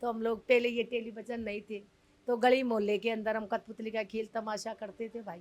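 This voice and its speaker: A plain, everyday voice: a woman at fairly high pitch and moderate pace, with fairly even intonation. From Delhi, family from Rajasthan. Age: 60s. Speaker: community leader of puppeteer colony. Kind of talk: interview.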